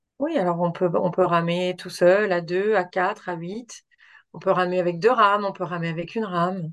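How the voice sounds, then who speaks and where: A woman speaks at a medium pitch and a moderate pace with fairly even intonation. The background is quiet. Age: 40s. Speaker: doctor. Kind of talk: interview. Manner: halting.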